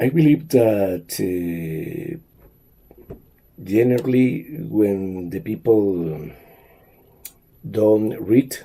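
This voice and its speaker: A man with a Spanish accent and a dark, mellow tone speaks at a very slow pace, with long, frequent pauses and very wide pitch swings. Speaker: language teacher. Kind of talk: monologue talk. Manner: halting, many fillers.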